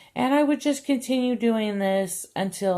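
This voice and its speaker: Her tone dark and mellow, a woman speaks with lively intonation in a very clean recording with a silent background. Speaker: crochet tutorial host. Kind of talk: casual chat; tutorial. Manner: halting.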